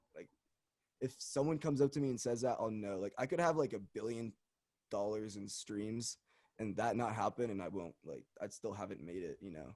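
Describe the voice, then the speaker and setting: A man's medium-pitched voice with lively intonation at a moderate pace, in a very clean recording with a silent background. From US, French family, French school. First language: French. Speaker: experimental musician. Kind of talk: interview. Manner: halting, many fillers.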